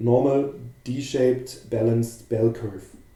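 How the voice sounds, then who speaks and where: Audible room echo surrounds a man with a German accent who talks at a fairly slow pace with fairly even intonation. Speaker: futures trading educator. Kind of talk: live market commentary. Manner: halting.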